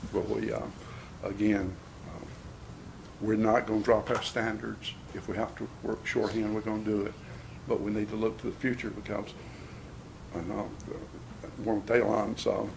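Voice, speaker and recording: A man with a Southern US accent speaks with long, frequent pauses. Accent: Southern US (Georgia). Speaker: county sheriff. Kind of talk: budget presentation at county commission meeting. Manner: casual, folksy; fast.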